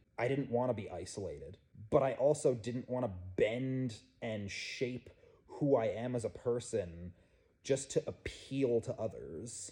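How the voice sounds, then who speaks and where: Somewhat breathy, the speech unfolds at a fairly slow pace. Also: man, medium pitch for a man, ordinary pitch variation. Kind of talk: personal testimony.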